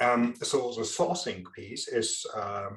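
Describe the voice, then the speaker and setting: Here a man is talking. He speaks in a strong German accent. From Germany. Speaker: procurement and supply chain expert. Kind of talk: interview. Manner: halting, many fillers.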